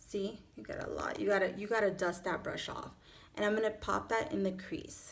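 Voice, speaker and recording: A woman speaks with a Miami accent. Her pace is moderate. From Miami, Florida. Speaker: beauty vlogger. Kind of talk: makeup tutorial; tutorial. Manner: casual, chatty with fillers. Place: home room. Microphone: phone near.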